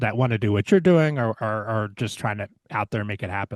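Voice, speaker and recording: A man with a normal speaking voice, fairly low pitch and ordinary pitch variation, at a fairly quick pace, in a dry, close sound with no echo. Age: 60s. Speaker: podcast host and music producer. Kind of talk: interview.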